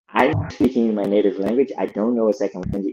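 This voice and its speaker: With a Brazilian Portuguese accent, a man speaks in a medium-pitched voice with a dark, mellow tone. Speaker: lead product designer. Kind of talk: podcast interview.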